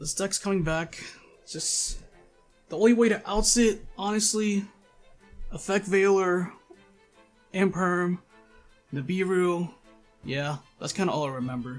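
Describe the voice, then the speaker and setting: With music in the background, a man speaks high in pitch at a fairly slow pace, with ordinary pitch variation and long, frequent pauses. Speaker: gaming video creator. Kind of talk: casual talk to camera. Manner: casual, hesitant.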